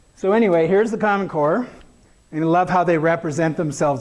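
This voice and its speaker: Room echo is audible as a man speaks with lively intonation. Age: 60s. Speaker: education speaker. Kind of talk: conference talk with slides. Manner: casual, hesitant with fillers.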